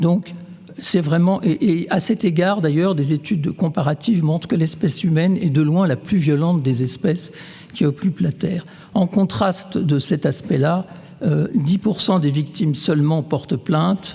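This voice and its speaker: A man with a high pitch speaks at a moderate pace with ordinary pitch variation. His loudness stays very even, and there is noticeable background noise. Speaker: neuroscientist. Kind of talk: lecture. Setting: stage with audience. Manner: halting, many fillers.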